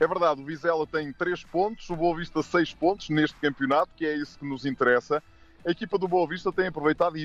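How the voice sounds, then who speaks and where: With music in the background, a man with a fairly high voice speaks with ordinary pitch variation in a dry, close recording with no echo. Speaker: football pundit. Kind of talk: radio sports preview.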